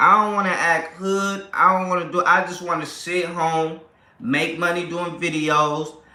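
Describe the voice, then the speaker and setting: A man's high-pitched, animated voice at a moderate pace, with noticeable background noise and audible room echo. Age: 30s. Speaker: family vlogger / livestream host. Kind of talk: casual livestream chat. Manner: animated, repetitive.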